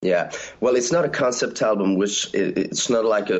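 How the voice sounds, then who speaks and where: A man speaks in a normal speaking voice at a moderate pace. His pitch is fairly low, with ordinary variation. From Canada. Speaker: band member. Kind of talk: casual interview.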